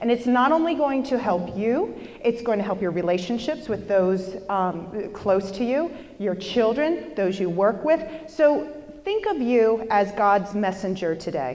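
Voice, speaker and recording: Loud and fairly high, a woman speaks at a fairly slow pace with very wide pitch swings, amid audible room echo and noticeable background noise. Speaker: motivational speaker. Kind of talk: motivational talk. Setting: stage with audience. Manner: animated.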